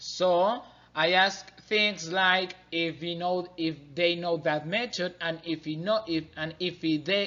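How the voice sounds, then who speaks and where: A man with a Spanish accent and a high pitch, speaking at a very slow pace. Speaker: student learning to be an English teacher. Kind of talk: class presentation. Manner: halting, many fillers and restarts.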